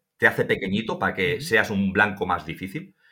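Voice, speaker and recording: The recording is very clean, with a silent background. A man speaks in a bright, sharp tone with vocal fry. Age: 40s. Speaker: survival instructor. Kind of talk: interview.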